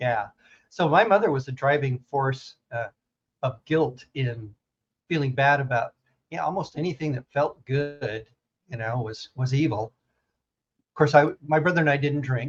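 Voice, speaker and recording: Somewhat breathy speech at a fairly slow pace, with ordinary pitch variation and long, frequent pauses. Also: man, fairly high pitch for a man. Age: 70s. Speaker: storyteller and former evangelical. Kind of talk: podcast interview. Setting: podcast recording. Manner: halting.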